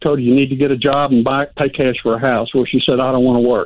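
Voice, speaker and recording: A man's voice at a fairly high pitch. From Louisiana. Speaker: caller. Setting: phone call.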